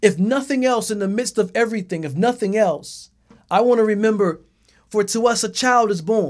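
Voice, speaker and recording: Speech comes at a moderate pace on a very clean recording with a silent background. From US South, South Carolina low country (Gullah/Geechee). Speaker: pastor. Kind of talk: sermon. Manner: halting.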